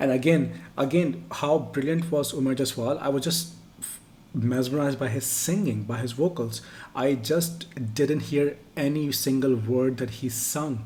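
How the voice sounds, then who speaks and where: With a Pakistani accent, a man talks at a fairly slow pace in a medium pitch, his somewhat breathy, dark, mellow tone showing ordinary pitch variation amid audible room echo. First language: Urdu. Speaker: music reaction youtuber. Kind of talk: casual chat. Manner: halting.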